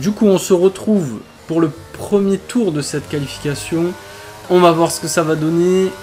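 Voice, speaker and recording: Over music in the background, a man with a high pitch talks at a fairly slow pace with ordinary pitch variation. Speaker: gaming youtuber. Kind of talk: gameplay commentary. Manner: halting, with fillers.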